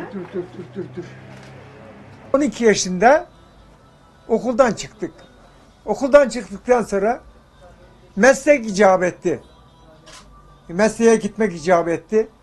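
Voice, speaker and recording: A man's high-pitched voice with ordinary pitch variation, very slow and full of long, frequent pauses, with big swings in loudness and faint music in the background. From Turkey. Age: 80s+. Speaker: tailor. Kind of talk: interview. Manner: halting. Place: shop.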